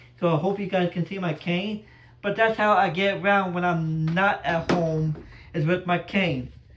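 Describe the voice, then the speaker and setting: At a moderate pace, a man speaks with fairly even intonation and a high pitch. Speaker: blind YouTuber. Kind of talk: casual home tour vlog. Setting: walking around home, filmed on phone. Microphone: phone recording.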